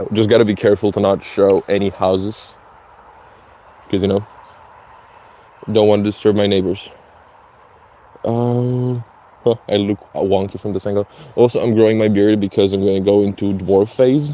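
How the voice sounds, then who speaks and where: Monotone and flat, a man talks at a moderate pace and fairly low pitch, leaving long, frequent pauses. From Slovenia. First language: Slovenian. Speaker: streamer. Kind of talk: casual live stream chat. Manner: halting, many fillers.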